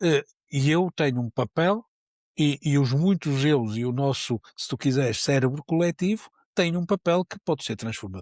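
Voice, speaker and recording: In a very clean recording with a silent background and a dry, close sound with no echo, a man with a fairly high pitch talks at a moderate pace with lively intonation. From Porto, northern Portugal. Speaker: neuroscience professor. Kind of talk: podcast interview. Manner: many repetitions and fillers; animated.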